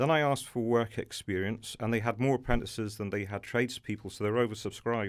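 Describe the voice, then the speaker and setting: At a fairly quick pace, a man with an English accent speaks at a medium pitch and fairly even intonation in a very clean recording with a silent background. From England, Norfolk. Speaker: kitchen and bathroom retail business owner. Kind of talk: interview. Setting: studio.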